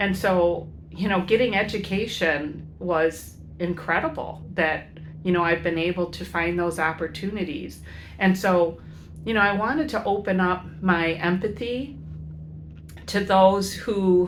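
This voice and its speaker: A woman with an American accent speaks at a fairly slow pace, her fairly low voice carrying vocal fry and fairly even intonation. Audible room echo surrounds her. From US Midwest, Chicago inner city. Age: 60s. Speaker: educator and van-life vlogger. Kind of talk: casual vlog monologue. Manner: halting, many fillers.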